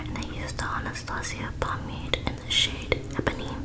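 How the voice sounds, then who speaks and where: A woman whispers. Noticeable background noise runs underneath. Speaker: ASMR creator. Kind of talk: ASMR makeup tutorial voiceover. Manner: whispered.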